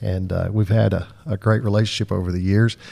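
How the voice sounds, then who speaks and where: A man's dark, mellow, fairly low-pitched voice at a fairly quick pace, with fairly even intonation and a dry, close sound with no echo. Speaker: attorney and podcast host. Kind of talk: casual interview.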